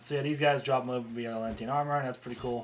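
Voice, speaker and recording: Noticeable background noise accompanies a man speaking at a medium pitch. His pitch varies in an ordinary way. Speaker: game developer. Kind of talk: dev-log gameplay showcase. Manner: fast; hesitant, many fillers.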